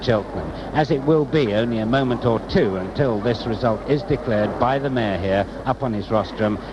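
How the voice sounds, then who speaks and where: A man with ordinary pitch variation, noticeable background noise behind him. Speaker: TV reporter. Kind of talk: live outside broadcast report.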